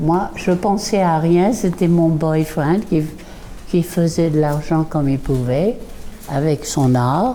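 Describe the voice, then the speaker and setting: A woman talks very slowly at a fairly low pitch with ordinary pitch variation, with noticeable background noise behind her. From southern France and England. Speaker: artist and former painter's model. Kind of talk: reminiscing testimony. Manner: halting, with many hesitations.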